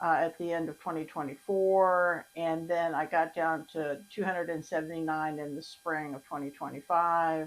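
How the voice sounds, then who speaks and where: A woman speaks at a moderate pace in a fairly low pitch, her intonation flat and monotone. The recording is very clean, with a silent background. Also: hardly any pauses. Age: 60s. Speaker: vlogger documenting weight loss. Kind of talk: personal video diary. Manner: conversational, with fillers.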